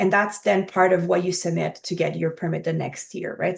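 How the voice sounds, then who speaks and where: With a French accent, a woman talks at a fairly quick pace. The background is quiet. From Quebec, Montreal. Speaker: archaeology professor. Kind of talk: interview.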